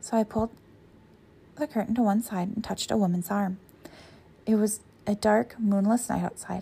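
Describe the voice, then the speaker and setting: At a fairly quick pace, a woman with an American accent speaks at medium pitch in a dramatic, somewhat breathy, dark, mellow tone with fairly even intonation. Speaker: podcast host. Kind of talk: ghost story reading aloud, narrating scripted fiction. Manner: hushed, suspenseful storytelling pace with dramatic pauses; casual, chatty, laughs easily in intro.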